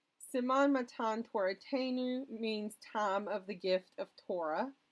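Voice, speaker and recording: Speaking very slowly in a Southern US accent, a woman with a fairly high pitch uses ordinary pitch variation. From US South. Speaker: educational YouTuber. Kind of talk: educational talk.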